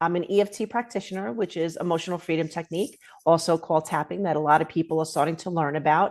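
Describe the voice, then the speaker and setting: A woman with a New York accent talks at a very fast pace with ordinary pitch variation over a quiet background. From Queens, New York City. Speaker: author and holistic arts practitioner. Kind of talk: interview.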